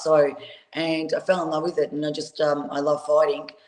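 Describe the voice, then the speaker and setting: Talking at a fairly quick pace with an Australian accent, a woman has a very deep, low pitch. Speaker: professional boxer. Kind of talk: interview.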